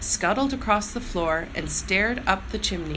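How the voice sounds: Lively intonation in a natural reading voice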